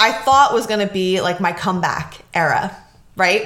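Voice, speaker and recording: A woman's voice carries audible room echo. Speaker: podcast host. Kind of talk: casual solo talk. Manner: casual, many fillers.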